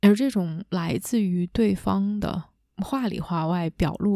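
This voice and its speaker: In a very clean recording with a silent background, a woman speaks in a calm, warm tone that is dark and mellow, the sound dry and close with no echo. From China. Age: young. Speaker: leadership coach and podcast host. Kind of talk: solo reflective monologue. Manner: calm and warm.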